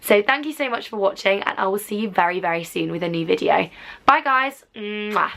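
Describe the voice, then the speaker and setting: Against music in the background, a woman talks at a fairly quick pace with lively intonation. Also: medium pitch for a woman. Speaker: YouTuber. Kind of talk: casual vlog advice. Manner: loud.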